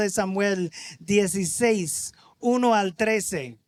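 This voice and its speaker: This man has an American accent. His pitch sits high for a man. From United States. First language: English (speaking Spanish). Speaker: visiting preacher. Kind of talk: sermon.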